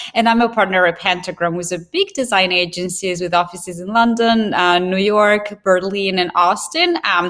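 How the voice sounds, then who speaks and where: A woman speaks with an Italian accent at a moderate pace. Her intonation stays fairly even. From Italy. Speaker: information designer. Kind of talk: interview.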